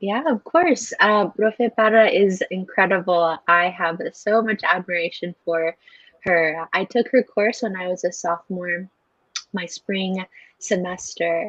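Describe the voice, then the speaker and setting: Heard with a dry, close sound and no echo, the speaker uses an American accent, a fairly slow pace and ordinary pitch variation. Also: woman, medium pitch for a woman. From Salt Lake City, Utah, US. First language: Spanish. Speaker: university student. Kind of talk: interview. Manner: hesitant, many fillers.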